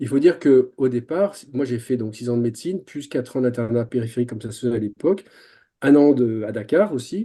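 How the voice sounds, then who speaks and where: A man speaks in a dark, mellow tone at a medium pitch with ordinary pitch variation. His pace is fairly quick, and his loudness swings a lot. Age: 60s. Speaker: general practitioner. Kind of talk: webinar panel discussion. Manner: hesitant, many fillers and repetitions.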